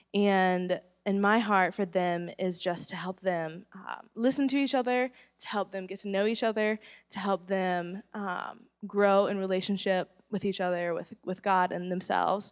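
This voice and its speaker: With an American accent, a woman speaks in a plain, everyday voice at a medium pitch, fairly even intonation and a moderate pace, recorded very cleanly against a silent background. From US South, Charlotte, North Carolina. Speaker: youth ministry director. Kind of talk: testimony.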